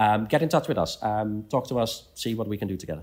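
A fairly quick voice in a Dutch accent on a very clean recording with a silent background. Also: man. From Netherlands. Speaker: CEO of an engineering membership organization. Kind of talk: interview. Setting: at a conference venue. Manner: halting, many repetitions.

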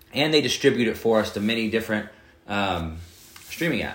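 Amid audible room echo, a man talks very fast at a fairly low pitch with ordinary pitch variation. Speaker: podcast host. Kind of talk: casual podcast chat.

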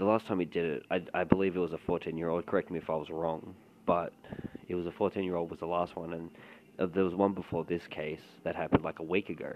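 A man with a very deep, low pitch talks at a very fast pace in a monotone, flat intonation. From Australia, Melbourne. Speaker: commentary podcaster. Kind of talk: casual commentary.

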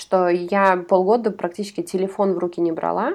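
A woman speaks at a moderate pace and a medium pitch with a dark, mellow tone. The background is quiet. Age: 30s. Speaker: podcast co-host. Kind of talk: casual chat.

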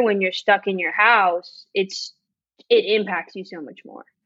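Speaking at a moderate pace with an American accent, this voice is an unremarkable speaking voice. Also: woman. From Miami, Florida. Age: 30s. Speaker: small business owner. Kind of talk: casual chat.

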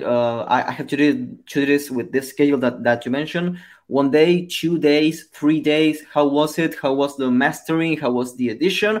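Set against a silent background in a very clean recording, a man with a Spanish accent speaks at a fairly high pitch. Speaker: podcast host. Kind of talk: interview. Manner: halting.

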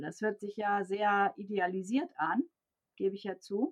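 A normal speaking voice at a fairly slow pace. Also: woman. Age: 50s. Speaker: organizational development coach and consultant. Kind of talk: interview.

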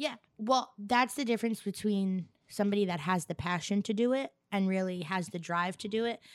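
Speaking in an ordinary speaking voice with an American accent, a woman talks at medium pitch and a fairly quick pace with ordinary pitch variation. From Staten Island, New York. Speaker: host's wife, interviewer. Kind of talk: casual chat.

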